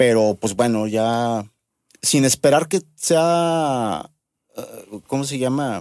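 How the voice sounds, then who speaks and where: In a central Mexican accent, a man speaks at a very slow pace with long, frequent pauses, the sound dry and close with no echo. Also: medium pitch for a man, lively intonation, very clean recording, silent background. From Mexico, Aguascalientes. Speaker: bass player. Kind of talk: casual chat.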